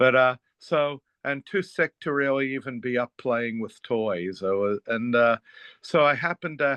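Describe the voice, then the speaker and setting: An unremarkable speaking voice with an American accent, ordinary pitch variation, and a moderate pace. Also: man. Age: 60s. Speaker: therapist and author. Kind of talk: interview conversation.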